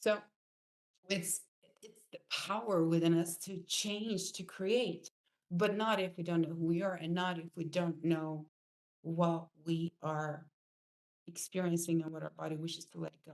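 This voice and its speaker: With a non-native accent, a woman speaks at a fairly low pitch and a fairly slow pace, with fairly even intonation, big swings in loudness and long, frequent pauses. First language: not English. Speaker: spiritual coach. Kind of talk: online course lesson. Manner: halting.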